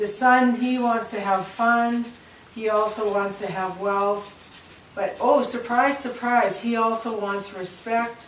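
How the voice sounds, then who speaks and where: A woman's fairly high voice at a very slow pace, with audible room echo and noticeable background noise. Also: fairly even intonation. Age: 60s. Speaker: farm family coach. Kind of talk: instructional interview. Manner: halting.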